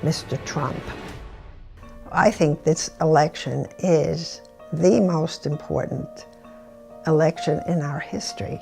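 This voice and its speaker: Fairly slow speech from a woman, backed by music. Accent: American. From United States. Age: 80s+. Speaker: retired executive. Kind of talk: interview answer.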